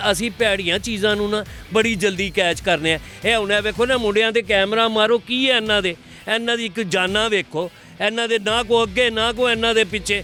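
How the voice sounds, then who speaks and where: Over music in the background, a man with a high voice projects it loudly in a Punjabi accent. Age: 60s. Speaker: interviewee in street interview. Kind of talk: casual interview.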